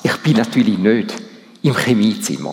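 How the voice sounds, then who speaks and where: A man with a Swiss accent speaks with very wide pitch swings. Noticeable background noise is present. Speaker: church council president giving sermon. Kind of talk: sermon. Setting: church service.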